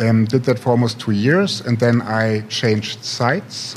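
There is noticeable background noise as a man talks at a fairly slow pace. He has a German accent and a medium pitch. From Germany, Potsdam. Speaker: tech startup CEO. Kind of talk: interview.

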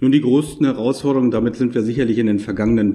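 This man's voice has a dark, mellow tone. His intonation is fairly even. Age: 50s. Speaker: tax advisor and auditor. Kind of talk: interview. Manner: formal.

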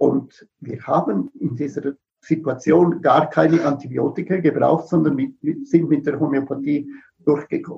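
In a somewhat breathy voice with a dark, mellow tone, a man speaks at a fairly high pitch and fairly slow pace with fairly even intonation. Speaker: veterinarian and animal homeopath. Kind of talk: interview. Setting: live video stream.

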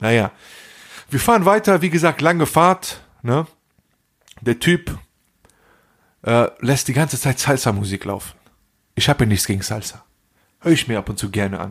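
With an animated tone and very wide pitch swings, the speaker keeps a moderate pace broken by long, frequent pauses. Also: man, medium pitch for a man. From Germany. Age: 40s. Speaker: podcast co-host. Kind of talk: casual chat.

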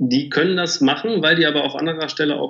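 There is vocal fry in this man's voice, along with ordinary pitch variation. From Germany, Bielefeld. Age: 30s. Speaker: agency managing director. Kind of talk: interview.

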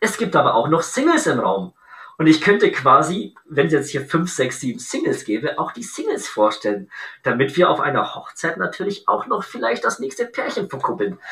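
A man speaks at a moderate pace while noticeable background noise goes on. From Bavaria, Augsburg. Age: 30s. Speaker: entrepreneur, event decor business founder. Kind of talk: podcast interview.

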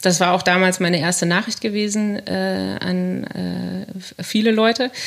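A fairly slow pace in an ordinary speaking voice. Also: woman. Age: 30s. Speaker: radio journalist. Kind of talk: casual chat.

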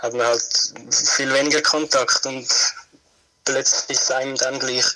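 The speech comes very slowly in a monotone, flat intonation. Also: man. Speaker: guest. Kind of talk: casual chat.

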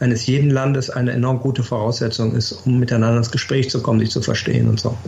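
Fairly quick and fairly even in intonation, a man speaks at medium pitch over noticeable background noise. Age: 60s. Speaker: former ambassador. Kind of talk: interview.

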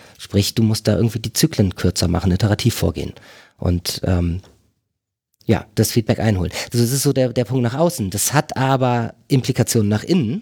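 Recorded very cleanly with a silent background and a dry, close sound with no echo, a man speaks at medium pitch in a dark, mellow, somewhat breathy tone with lively intonation. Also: fairly quick pace. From northern Germany, near Bremen. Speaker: agile consultant. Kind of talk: casual interview conversation. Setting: on location at a company office.

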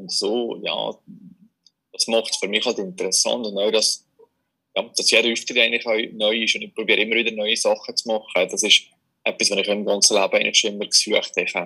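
Long pauses come often in this man's speech. Between them, he talks fairly quickly. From Switzerland, Valais. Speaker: magician. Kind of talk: casual interview. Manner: halting, many fillers.

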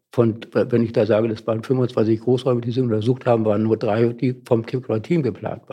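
Medium-pitched male voice with a dark, mellow tone, monotone and flat, at a fairly quick pace with hardly any pauses. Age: 80s+. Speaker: retired organisation consultant and artist. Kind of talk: interview. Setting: studio.

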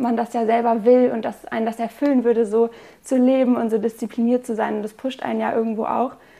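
At a fairly quick pace, a woman speaks in a monotone, flat intonation. Her voice has a fairly high pitch and a dark, mellow tone. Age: 20s. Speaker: student sharing eating disorder recovery story. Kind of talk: personal testimony in interview.

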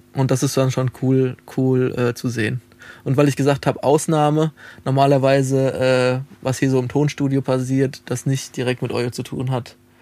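With a dark, mellow tone, a man talks at a moderate pace and a medium pitch. His intonation is flat and monotone. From Lower Franconia, Bavaria (Alzenau, near Hesse border). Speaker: music producer and sound engineer, festival founder. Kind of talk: casual interview. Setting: recording studio.

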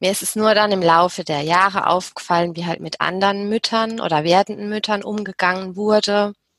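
An ordinary speaking voice at a fairly quick pace, with fairly even intonation, hardly any pauses, and dry, close sound with no echo. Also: woman, medium pitch for a woman. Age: 30s. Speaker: business psychologist and HR consultant. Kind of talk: interview.

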